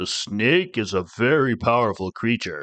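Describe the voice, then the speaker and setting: A man puts on a character voice and talks at a moderate pace. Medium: read story. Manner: calm, gentle.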